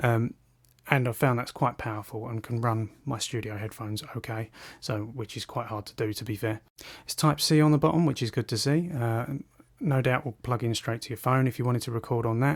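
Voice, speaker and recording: Somewhat breathy, a man with a medium pitch speaks at a fairly quick pace with fairly even intonation, on a very clean recording with a silent background. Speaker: tech reviewer. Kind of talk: product review.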